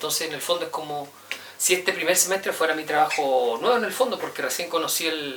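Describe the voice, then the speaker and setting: A man's voice in a Chilean accent, with lively intonation and a fairly quick pace, over noticeable background noise. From Chile, Santiago. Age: 30s. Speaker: university professor. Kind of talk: interview. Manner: hesitant, with repetitions.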